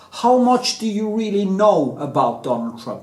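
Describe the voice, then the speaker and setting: Amid noticeable background noise and audible room echo, a man speaks at a high pitch and a moderate pace. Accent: Norwegian. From Norway. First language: Norwegian. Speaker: artist and painter, video blogger. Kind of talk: opinion monologue, rant. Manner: casual, hesitant with many fillers.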